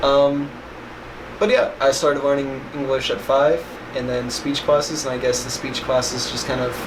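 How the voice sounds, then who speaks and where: A man's monotone, flat voice amid noticeable background noise and audible room echo. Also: fairly high pitch for a man, moderate pace. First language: sign language. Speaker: vlogger. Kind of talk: casual chat. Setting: bedroom.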